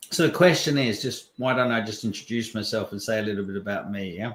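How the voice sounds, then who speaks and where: This is a man at medium pitch with a plain, everyday voice. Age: 60s. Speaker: personal development coach. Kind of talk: interview.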